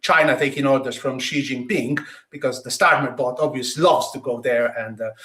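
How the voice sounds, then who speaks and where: In an Italian accent, a man with a bright, sharp tone speaks at a moderate pace. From Italy, Tuscany. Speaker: political podcast host. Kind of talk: political discussion.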